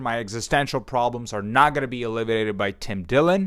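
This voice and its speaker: Here a man talks at a fairly quick pace in a bright, sharp tone. The recording is very clean with a silent background. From Ukraine. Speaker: comedian. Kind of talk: comedic monologue.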